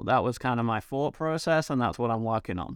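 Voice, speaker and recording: A man with an English accent is heard on a very clean recording with a silent background and a dry, close sound with no echo. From England, small town. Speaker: entrepreneur and marketing expert. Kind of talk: interview.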